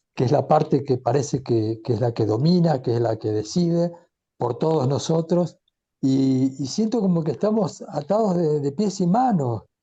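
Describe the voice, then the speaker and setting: A man with a fairly high pitch and a dark, mellow tone sounds somewhat breathy, his intonation lively. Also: moderate pace, very even loudness. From Argentina. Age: 70s. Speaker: audience participant. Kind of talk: personal comment in discussion.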